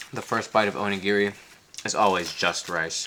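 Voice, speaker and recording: A man with an American accent at a fairly slow pace amid noticeable background noise. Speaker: travel vlogger. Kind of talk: casual food tasting vlog.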